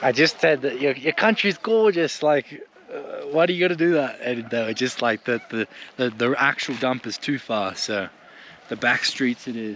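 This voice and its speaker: Against noticeable background noise, a man with an Australian accent and a fairly high pitch speaks at a moderate pace with lively intonation. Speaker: travel vlogger. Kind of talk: casual vlog narration.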